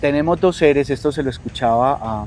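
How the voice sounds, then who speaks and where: Soft-spoken and calm, the voice moves at a moderate pace with ordinary pitch variation over noticeable background noise. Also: man. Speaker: coach and teacher. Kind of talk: interview conversation.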